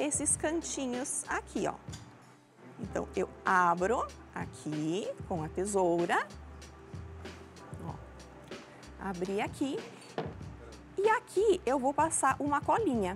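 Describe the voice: A woman speaks very slowly in a southern Brazilian accent, with long, frequent pauses and music in the background.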